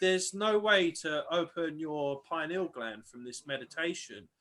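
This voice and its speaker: With an English accent, a man speaks at a high pitch in a bright, sharp tone. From England. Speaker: guest on esoteric talk show. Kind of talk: live-streamed casual chat. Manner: animated; loud.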